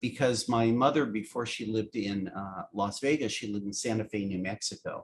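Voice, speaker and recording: With a General American accent, a man talks in a normal speaking voice at a medium pitch. His pace is fairly quick, his intonation fairly even, with hardly any pauses. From US West Coast, San Francisco. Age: 60s. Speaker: animation writer and producer. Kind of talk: casual interview chat.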